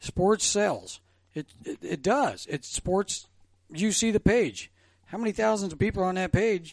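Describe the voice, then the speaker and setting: A fairly slow delivery with an American accent, ordinary pitch variation, and a dry, close sound with no echo. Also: man, high pitch for a man. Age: 60s. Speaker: former sports radio host. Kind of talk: casual chat. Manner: animated.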